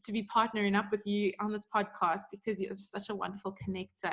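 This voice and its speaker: A woman's medium-pitched, monotone and flat voice in a South African accent. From South Africa, Johannesburg. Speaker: podcast co-host, business coach. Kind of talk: casual podcast chat.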